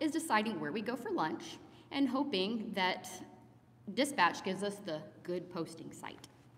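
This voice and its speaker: A woman talks at a medium pitch while noticeable background noise carries on behind her. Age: 40s. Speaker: paramedic. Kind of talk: memorial eulogy speech. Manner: reading from notes.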